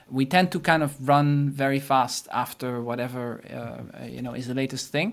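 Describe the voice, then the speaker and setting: A moderate pace in a Dutch accent, with ordinary pitch variation, big swings in loudness and a very clean recording with a silent background. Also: man, medium pitch for a man. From Netherlands. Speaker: marketing consultant. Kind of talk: interview. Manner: halting.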